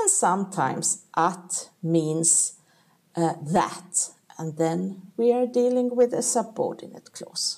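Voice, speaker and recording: Speaking very slowly, a woman with a Swedish accent uses lively intonation at a medium pitch. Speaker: language teacher. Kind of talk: tutorial. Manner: clear, deliberate explaining with pauses.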